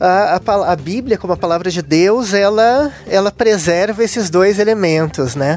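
A man with a southern Brazilian accent speaks at a fairly slow pace with hardly any pauses. His pitch is high, with ordinary pitch variation, and there is noticeable background noise. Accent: gaúcho Brazilian Portuguese. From Southern Brazil (Rio Grande do Sul). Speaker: invited guest discussing the Bible. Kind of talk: religious discussion. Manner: halting, repeats small words.

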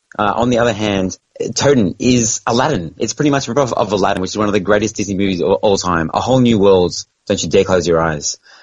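A very fast, fairly low male voice with ordinary pitch variation. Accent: Australian. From Australia. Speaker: pinball podcast co-host. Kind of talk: casual chat.

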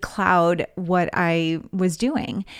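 This is a woman with an American accent. Her pitch sits in the medium range. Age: 40s. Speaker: podcast host and fundraising coach. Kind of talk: solo podcast monologue.

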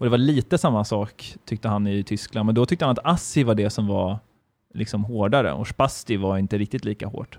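A man talks at a fairly quick pace with a fairly low pitch, ordinary pitch variation, and a dry, close sound with no echo. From Sweden. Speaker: podcast guest, half-German. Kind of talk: casual chat.

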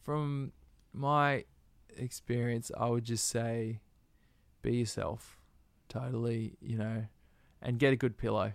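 In an Australian accent, a man speaks very slowly at a medium pitch with ordinary pitch variation and long, frequent pauses. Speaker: musician. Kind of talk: interview. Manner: laid-back.

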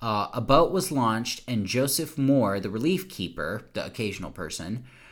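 Using a normal speaking voice with an American accent, a man talks at a fairly slow pace with lively intonation. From US South. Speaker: podcast host. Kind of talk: casual chat; reading aloud.

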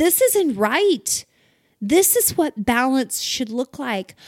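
A woman speaks with high pitch and a warm tone. Her pace is very slow. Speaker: devotional podcast host. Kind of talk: guided devotional prayer, reflective second-person encouragement. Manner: warm, gently rousing, rhetorical questions building uplift; enthusiastic and exclamatory, cheerful whoops.

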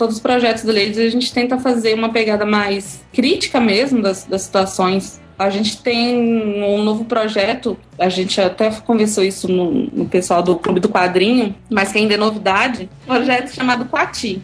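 Music plays in the background as a woman speaks at a moderate pace. Her fairly high voice keeps very even loudness and fairly even intonation. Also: hardly any pauses. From Bahia, Brazil (Eunápolis). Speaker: comics blogger. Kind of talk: casual interview.

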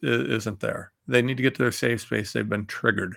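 A man with an American accent and vocal fry, on a very clean recording with a silent background. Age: 40s. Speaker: political talk radio host. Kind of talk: political commentary monologue. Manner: animated.

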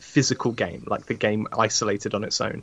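A man with a British accent at a moderate pace. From UK. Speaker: sim racing commentator. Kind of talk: casual chat.

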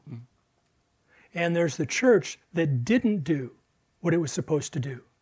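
With lively intonation and a dark, mellow tone, a man with an American accent talks at a moderate pace and high pitch in a very clean recording with a silent background. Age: 70s. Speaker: Bible teacher. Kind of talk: lecture.

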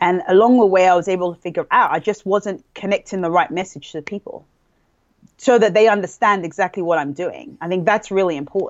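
Fairly quick speech from a woman with an American accent, at medium pitch with ordinary pitch variation. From England, London. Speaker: small business owner, bag designer. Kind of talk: interview.

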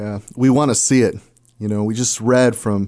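With an American accent, a man speaks at medium pitch and a moderate pace, his pitch varying in an ordinary way. His tone is dark and mellow against a quiet background. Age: 40s. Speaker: pastor. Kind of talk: radio interview, pastoral exhortation. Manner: passionate, exhortative.

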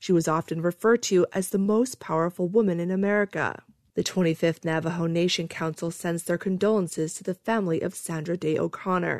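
Fairly low-pitched woman with a normal speaking voice, fairly quick pace, hardly any pauses and fairly even intonation, dry and close with no echo over a quiet background. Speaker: newsreader. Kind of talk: radio news reading, scripted and formal. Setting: radio studio. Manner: steady, even, formal newsreader delivery.

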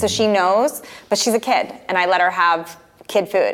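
Noticeable background noise runs under a voice with fairly even intonation. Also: woman. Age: 40s. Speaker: fitness coach and entrepreneur. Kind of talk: interview.

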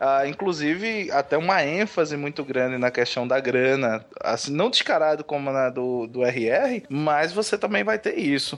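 A man speaks with a northeastern Brazilian accent at a fairly high pitch, his intonation lively. His pace is fairly slow, with hardly any pauses. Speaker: podcaster. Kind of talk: casual chat.

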